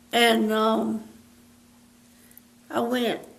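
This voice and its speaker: The speaker talks at a very slow pace in an eastern North Carolina accent. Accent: Southern US (eastern North Carolina). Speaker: elderly local resident telling life stories. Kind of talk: oral history interview. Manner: halting.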